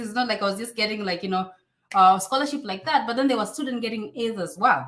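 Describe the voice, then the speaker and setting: In a Kenyan accent, a woman speaks at a medium pitch with lively intonation. Her tone is bright, sharp and animated. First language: Swahili. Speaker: online influencer and immigration advice youtuber. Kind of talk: live stream Q&A.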